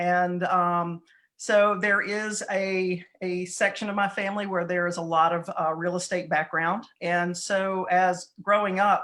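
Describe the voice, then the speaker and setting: A woman with a Southern US accent talks at a fairly slow pace in a medium pitch, her intonation monotone and flat, with hardly any pauses and a quiet background. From southeastern North Carolina. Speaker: real estate broker. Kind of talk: interview.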